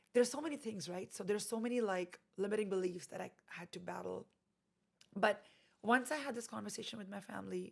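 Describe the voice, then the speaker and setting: Talking very fast, a woman speaks with an Indian accent at a medium pitch. Vocal fry runs through her voice. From India (Delhi), later Canada. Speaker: actress and boutique owner. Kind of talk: interview conversation. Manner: halting with fillers.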